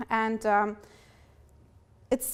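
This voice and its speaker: A moderate pace in a German accent. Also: woman. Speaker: fellowship participant. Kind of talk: speech. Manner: halting.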